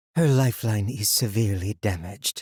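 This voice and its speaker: A man's put-on character voice, fairly low and fairly quick, in a dry, close sound with no echo. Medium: read story. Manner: low, serious.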